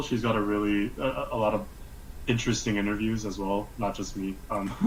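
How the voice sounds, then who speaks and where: Audible room echo surrounds the voice. The speech moves at a moderate pace. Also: man. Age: young. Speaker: freelance animator. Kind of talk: live-streamed interview. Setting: video call live stream.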